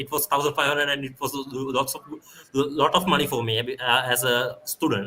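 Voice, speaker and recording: A man with a Sri Lankan accent speaks in a bright, sharp tone at a fairly high pitch, keeping a moderate pace and fairly even intonation. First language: Sinhala. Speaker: guest lecturer, security researcher. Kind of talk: guest lecture, live Q&A. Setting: live online stream. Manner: halting, many fillers and repeats.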